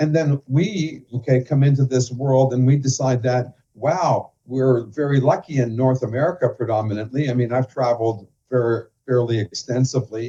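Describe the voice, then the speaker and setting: A man with a Canadian accent speaks at a moderate pace in a medium pitch, his dark, mellow tone somewhat breathy and his intonation fairly even. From Canada. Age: 60s. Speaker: financial professional and author. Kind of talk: interview.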